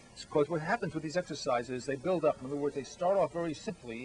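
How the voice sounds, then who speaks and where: A man's fairly high voice with ordinary pitch variation over noticeable background noise. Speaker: book author. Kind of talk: interview.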